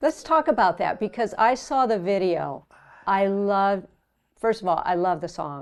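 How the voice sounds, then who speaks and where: This woman has an ordinary speaking voice, medium in pitch with lively intonation. She talks at a fairly slow pace against a quiet background. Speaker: TV talk show host. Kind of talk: interview questions.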